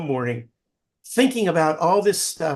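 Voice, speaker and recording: The pace is moderate. It is a man's voice. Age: 70s. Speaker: novelist. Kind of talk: interview. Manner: halting.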